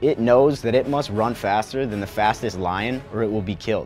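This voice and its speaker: Faint music plays in the background as a man talks at a fairly quick pace. His pitch varies in an ordinary way. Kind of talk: promotional explainer to camera. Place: studio.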